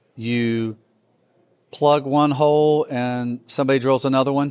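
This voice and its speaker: This is an ordinary speaking voice, a man with an American accent at a medium pitch. His intonation is fairly even, and the recording is very clean with a silent background. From Alabama, US South. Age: 50s. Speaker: freight technology executive. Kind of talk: casual interview.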